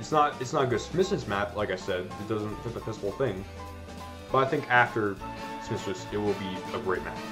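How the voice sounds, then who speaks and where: The speaker talks at a moderate pace with lively intonation. Music plays in the background. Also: man, fairly low pitch for a man. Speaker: gaming video reviewer. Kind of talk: casual game review commentary.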